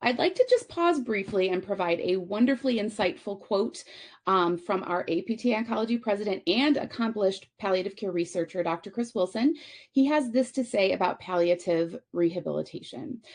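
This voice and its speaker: A plain, everyday voice from a woman, medium in pitch, with lively intonation. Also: fairly quick pace. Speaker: conference speaker, physical therapist. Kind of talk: conference presentation.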